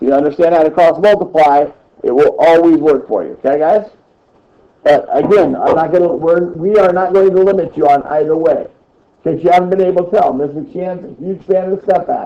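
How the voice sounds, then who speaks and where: Fairly even intonation at a fairly quick pace. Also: man, high pitch for a man. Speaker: middle school math teacher. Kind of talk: classroom lesson. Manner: fast.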